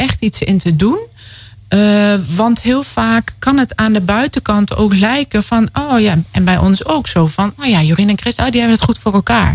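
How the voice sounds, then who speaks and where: A woman speaks in a normal speaking voice at a fairly slow pace. Her pitch sits in the medium range with ordinary variation. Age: 40s. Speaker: guest sharing experience of involuntary childlessness. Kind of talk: radio interview. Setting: radio studio.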